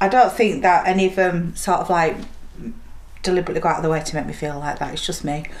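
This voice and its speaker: At a very fast pace, a woman with a Yorkshire accent speaks at a fairly low pitch with ordinary pitch variation, amid audible room echo and noticeable background noise. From Yorkshire, Leeds. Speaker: single mother. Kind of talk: documentary interview.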